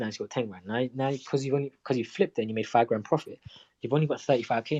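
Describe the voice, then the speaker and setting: Very fast in pace, a man's medium-pitched voice has a dark, mellow tone and ordinary pitch variation, heard dry and close with no echo. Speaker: crypto trading livestreamer. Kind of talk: casual livestream Q&A.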